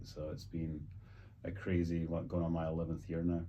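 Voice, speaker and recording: A man speaks at a very fast pace with a slight Scottish accent, in a very deep, low pitch. His tone is dark and mellow, with audible room echo. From Scotland. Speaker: luxury real estate agent, former pro golfer. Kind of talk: casual interview.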